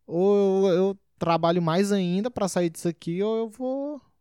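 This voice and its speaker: Recorded very cleanly against a silent background, a man talks with a high pitch and a dark, mellow tone. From Brasília, Brazil. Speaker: stand-up comedian. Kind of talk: casual interview chat.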